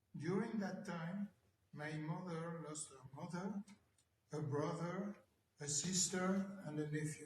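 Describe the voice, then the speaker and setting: Speaking fairly slowly with long, frequent pauses, a man keeps his high-pitched voice at a fairly even intonation. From France, Paris suburbs. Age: 80s+. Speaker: Holocaust survivor. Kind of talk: testimony.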